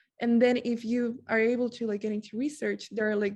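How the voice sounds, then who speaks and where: A woman with a non-native accent speaks at a fairly quick pace in a somewhat breathy, dark, mellow tone, her fairly high pitch held in monotone, flat intonation against a quiet background. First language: not English. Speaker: student peer mentor. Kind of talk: workshop presentation. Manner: casual, many filler words.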